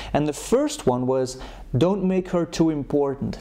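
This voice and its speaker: A man with a non-native accent, fairly high-pitched, with ordinary pitch variation and a moderate pace. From Europe. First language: not English. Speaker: dating coach. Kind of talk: advice monologue.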